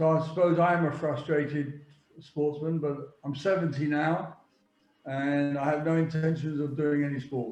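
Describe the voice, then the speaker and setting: A man at a fairly high pitch, monotone and flat, moderate pace, audible room echo. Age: 70s. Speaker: football agent. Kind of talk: interview. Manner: halting.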